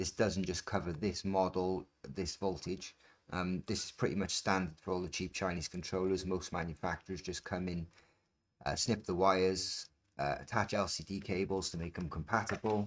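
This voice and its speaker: On a very clean recording with a silent background, a man with a British accent speaks in a very deep, low pitch with fairly even intonation. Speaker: scooter repair and modding youtuber. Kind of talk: tutorial. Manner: fast; casual, with filler ums.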